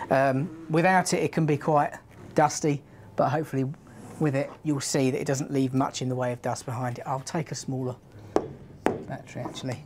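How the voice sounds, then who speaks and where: With a British accent, a woman speaks in a very deep, low voice at a fairly quick pace, using fairly even intonation and long, frequent pauses over noticeable background noise. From UK. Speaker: power tool product trainer. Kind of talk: live stream product demo. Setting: studio live stream. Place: studio.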